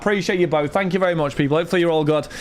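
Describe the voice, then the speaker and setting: A man speaks over noticeable background noise. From Britain. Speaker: card break livestreamer. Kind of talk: livestream chat. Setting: home streaming studio with lights and fan. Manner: casual, chatty.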